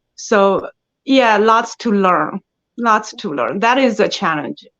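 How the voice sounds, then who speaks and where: Very slowly, a woman talks in a fairly high voice. The sound is dry and close with no echo against a quiet background. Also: ordinary pitch variation. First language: Chinese. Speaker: actress. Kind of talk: interview. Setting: podcast. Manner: hesitant, with fillers.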